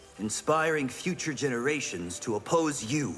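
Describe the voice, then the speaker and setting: A man performs a put-on character voice at a medium pitch and a moderate pace. Background noise is clearly audible. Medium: video game. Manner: calm, dignified.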